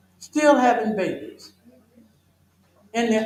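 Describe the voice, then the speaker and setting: Lively intonation with an American accent at a moderate pace, amid audible room echo. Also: man. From US South. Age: 70s. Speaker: health educator. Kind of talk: health seminar Q&A answer.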